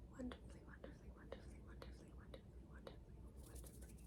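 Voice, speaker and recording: The speaker is soft-spoken, with a calm tone. The accent is American. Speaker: ASMR content creator. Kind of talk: ASMR soft-spoken roleplay giving instructions to the viewer. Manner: soft-spoken, calm.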